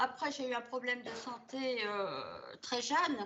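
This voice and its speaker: Speaking at a very slow pace, a woman with a high pitch keeps her intonation fairly even. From Belgium. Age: 70s. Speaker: hypnosis session client. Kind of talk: personal testimony. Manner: hesitant, many filler sounds.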